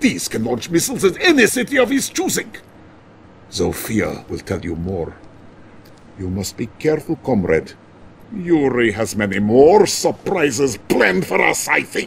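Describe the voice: At a fairly slow pace, a man puts on a character voice of medium pitch, with vocal fry and very wide pitch swings.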